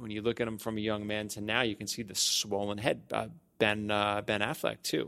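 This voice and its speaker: A man with an American accent and an ordinary speaking voice talks at a fairly quick pace in a medium pitch, on a very clean recording with a silent background. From Staten Island, New York. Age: 40s. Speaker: podcast host and wellness studio owner. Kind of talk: casual chat. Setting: studio.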